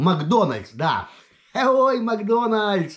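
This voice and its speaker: A man speaks at a very slow pace with very wide pitch swings. The background is quiet. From Lithuania, Vilnius; Lithuania. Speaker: video blogger. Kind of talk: casual personal monologue. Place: home room. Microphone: webcam.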